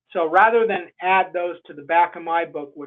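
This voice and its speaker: A man with a normal speaking voice, a fairly high pitch and a fairly quick pace. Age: 60s. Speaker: Bigfoot researcher and author. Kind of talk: podcast interview.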